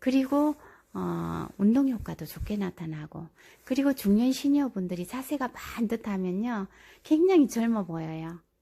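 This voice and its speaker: A woman's somewhat breathy, dark, mellow voice with lively intonation at a moderate pace. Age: 60s. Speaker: senior health-exercise vlogger. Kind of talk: casual talk to camera, instructional explanation.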